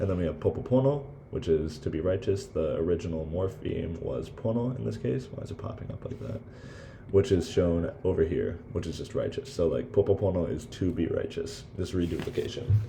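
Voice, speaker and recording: A man speaks at a very deep, low pitch with very wide pitch swings. Noticeable background noise can be heard. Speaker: student giving class presentation. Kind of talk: recorded class presentation. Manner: halting, many fillers; hurried.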